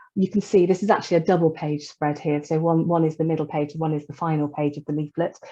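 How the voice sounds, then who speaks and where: Talking at a very fast pace, a woman with a very deep, low pitch and a dark, mellow tone keeps her intonation fairly even. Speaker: charity staff presenter. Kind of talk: webinar presentation. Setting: online webinar.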